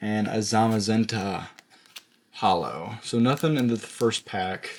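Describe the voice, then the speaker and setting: The voice is quiet and the pace fairly slow. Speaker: pokemon card pack opener. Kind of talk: casual pack opening video. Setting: home at night.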